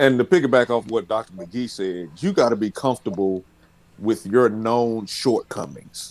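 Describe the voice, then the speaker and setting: Speaking with a Southern US accent, a man uses a medium pitch with ordinary pitch variation. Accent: Southern drawl. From US South. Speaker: pastor. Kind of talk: casual panel discussion.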